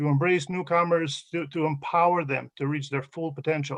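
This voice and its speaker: A man's fairly high, flat monotone with an Albanian accent. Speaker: award honoree. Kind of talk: acceptance speech. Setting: video call. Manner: halting, many fillers.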